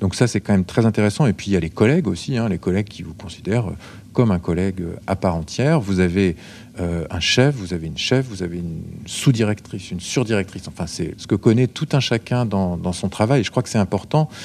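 An unremarkable speaking voice moves at a fairly quick pace with ordinary pitch variation, captured in a very clean recording against a silent background. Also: man, fairly low pitch for a man. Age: 40s. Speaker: care assistant and regional politician. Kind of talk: interview.

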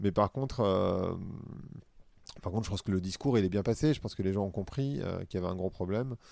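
With long, frequent pauses, a man speaks at a fairly low pitch and ordinary pitch variation on a very clean recording with a silent background. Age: 40s. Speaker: podcaster and corporate consultant. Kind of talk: casual interview. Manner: hesitant, many fillers.

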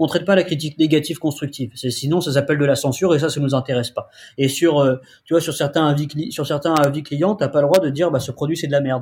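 Talking at a very fast pace, a man with a fairly high, somewhat breathy voice keeps his intonation fairly even. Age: 20s. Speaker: tech startup founder. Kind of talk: interview. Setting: remote call.

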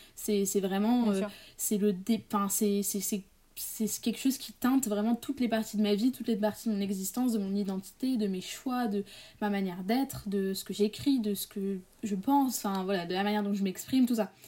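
At a moderate pace, a woman talks in a medium-pitched, somewhat breathy voice with a dark, mellow tone and fairly even intonation. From Paris area, France. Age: young. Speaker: student and author. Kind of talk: interview. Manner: halting.

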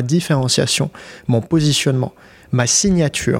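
The man's voice sits at a medium pitch and sounds somewhat breathy. He moves at a moderate pace with ordinary pitch variation. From Switzerland (born Kyiv, Ukraine). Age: 20s. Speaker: LinkedIn business coach, entrepreneur. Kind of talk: casual interview chat.

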